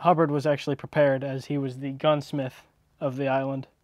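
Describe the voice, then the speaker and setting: A man's monotone, flat delivery in a dry sound with no echo against a quiet background. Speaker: urban explorer vlogger. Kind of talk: storytelling about local history.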